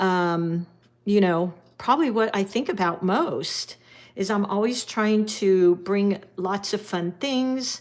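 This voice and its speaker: A woman at a medium pitch has an unremarkable speaking voice with ordinary pitch variation. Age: 60s. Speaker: watercolor art teacher. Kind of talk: live-stream painting tutorial with viewer chat. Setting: live stream. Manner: casual, chatty with filler words.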